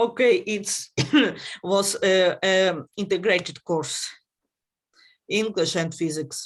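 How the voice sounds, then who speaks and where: A woman's medium-pitched voice at a very slow pace, with long, frequent pauses and ordinary pitch variation. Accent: Ukrainian. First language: Ukrainian. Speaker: conference session chair. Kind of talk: conference Q&A discussion. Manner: halting, many hesitations.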